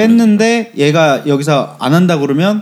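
The man's pitch swings very widely as he talks. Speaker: podcast host. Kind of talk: casual chat.

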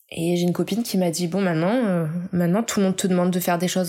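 Talking very fast, a woman has a fairly low pitch and a dark, mellow tone. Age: 30s. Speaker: illustrator. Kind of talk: interview.

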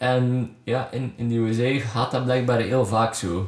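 A man talks at a medium pitch in a Flemish accent. His intonation stays fairly even. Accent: Flemish Dutch. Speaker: podcast host and musician. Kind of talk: casual interview. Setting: guest's home studio.

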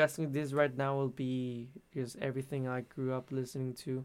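A man with a fairly high pitch at a moderate pace. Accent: Spanish. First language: Spanish. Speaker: musician. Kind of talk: interview.

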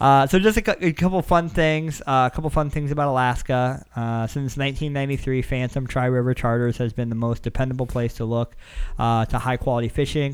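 A man in an ordinary speaking voice, medium pitch with ordinary variation, fairly quick pace and hardly any pauses. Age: 20s. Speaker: podcast host. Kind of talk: casual chat.

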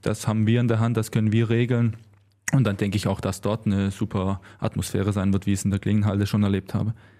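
A man's very fast speech in a Swabian accent, fairly low in pitch with a dark, mellow tone, monotone and flat in intonation, very even in loudness, on a very clean recording with a silent background. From Swabia, Germany. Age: 20s. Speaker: handball player. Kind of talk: interview.

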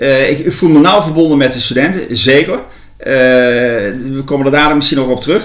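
Background noise is noticeable, and the room echo is audible. Through it, a man talks at a moderate pace. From Netherlands, Gelderland (Land van Maas en Waal). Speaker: university ceremonial officer. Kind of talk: interview. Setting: at a kitchen table. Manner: halting, many repetitions.

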